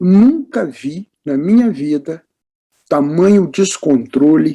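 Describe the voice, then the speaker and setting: A man's dark, mellow tone with lively intonation. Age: 80s+. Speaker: business executive and board member. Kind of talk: interview.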